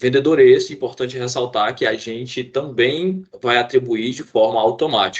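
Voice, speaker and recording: Moderate speed and a mid-range male pitch, with nearly no pauses and normal rise and fall in pitch from a man. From Fortaleza, Ceará, Brazil. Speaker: IT student and trainee. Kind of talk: team project presentation. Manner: halting, with frequent repetitions and fillers.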